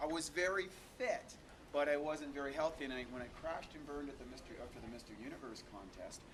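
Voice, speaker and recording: Amid noticeable background noise and audible room echo, a man with a fairly high voice speaks at a very fast pace, his loudness swinging widely and his pitch varying in an ordinary way. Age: 40s. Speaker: raw vegan bodybuilder. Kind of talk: interview. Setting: at a health expo.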